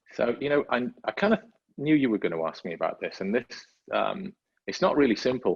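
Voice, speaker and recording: A man is speaking. He has a slight Welsh accent. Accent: faint Welsh, barely noticeable. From North Wales. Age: 50s. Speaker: motorsport safety manager. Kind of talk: podcast interview. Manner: hesitant, many fillers and repeats.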